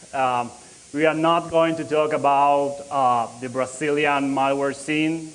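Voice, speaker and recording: Someone with a Spanish accent speaks at a fairly slow pace amid audible room echo. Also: man. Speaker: security researcher. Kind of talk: conference talk. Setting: conference stage with audience. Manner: halting, many fillers.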